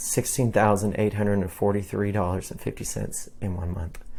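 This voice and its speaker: A man with a normal speaking voice talks at a fairly low pitch with fairly even intonation, on a very clean recording with a silent background. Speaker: realtor. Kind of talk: market update monologue.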